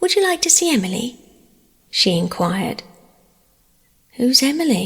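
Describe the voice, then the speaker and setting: Her pitch swings very widely as a woman speaks at a fairly slow pace with an English accent. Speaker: audiobook narrator. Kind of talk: sleep story.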